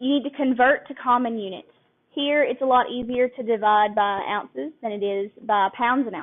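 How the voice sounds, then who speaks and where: Speaking in a Southern US accent, a woman has a high-pitched voice. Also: ordinary pitch variation, moderate pace. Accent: Southern US country. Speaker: couponing workshop instructor. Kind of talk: live classroom lecture. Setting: live room recording.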